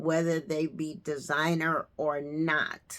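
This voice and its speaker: The woman's voice has a fairly low pitch. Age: 60s. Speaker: fashion and lifestyle vlogger. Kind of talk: casual styling tutorial. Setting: at home next to her closet. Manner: chatty, conversational.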